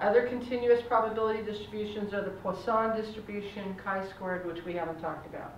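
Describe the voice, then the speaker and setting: Speaking at a very fast pace with hardly any pauses, a woman keeps a medium pitch and fairly even intonation. Audible room echo and noticeable background noise fill the recording. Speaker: math teacher. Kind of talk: classroom lecture. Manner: halting, self-correcting.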